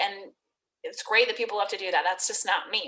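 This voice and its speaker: A woman talks with monotone, flat intonation. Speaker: network marketing fitness coach. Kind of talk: recruitment sales pitch. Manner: fast.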